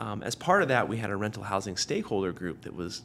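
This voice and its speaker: A man speaks with a Pacific Northwest accent. His fairly low voice moves at a fairly quick pace. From Tacoma, Washington, US Pacific Northwest. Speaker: city councilmember, former high school teacher. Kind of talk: interview.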